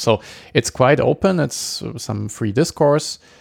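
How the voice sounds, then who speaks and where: The sound is dry and close, with no echo, as a man speaks. He has a German accent and a fairly slow pace. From Germany. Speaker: podcast host. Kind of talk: casual solo intro. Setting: home recording. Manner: halting, filler-heavy.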